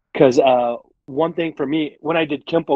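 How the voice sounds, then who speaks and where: With ordinary pitch variation and a fairly high pitch, a man talks in an unremarkable speaking voice. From Arizona, moved from Michigan at 16. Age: 40s. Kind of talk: casual podcast interview. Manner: conversational with many fillers.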